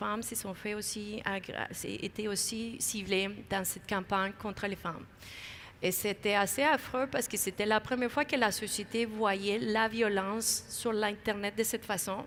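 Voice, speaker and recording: A woman's fairly high voice with a slight non-native accent, fairly even intonation and a moderate pace. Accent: slight foreign accent in French. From outside Quebec. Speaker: video game industry figure. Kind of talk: panel interview. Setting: conference main stage. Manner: halting.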